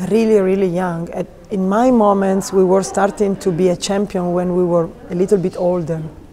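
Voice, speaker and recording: A woman talks with an Italian accent in a monotone, flat intonation. Light background noise can be heard. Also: medium pitch for a woman, moderate pace. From Italy. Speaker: figure skating coach; ice dance coach. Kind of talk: interview. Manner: halting. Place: hall. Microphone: lapel.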